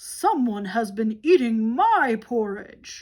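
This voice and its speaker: Very slowly, a speaker delivers lines in a put-on character voice. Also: female-sounding voice. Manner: loud, startled, exclaiming.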